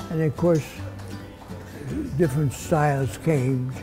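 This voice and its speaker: With clear music playing behind him, a man talks with ordinary pitch variation. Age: 80s+. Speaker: barber. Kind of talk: interview answer. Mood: warm, reminiscing. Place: shop. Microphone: lapel.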